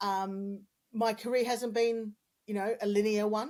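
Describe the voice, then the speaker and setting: A woman's voice with an Australian accent and ordinary pitch variation. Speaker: communications consultant. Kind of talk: podcast interview. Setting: podcast recording.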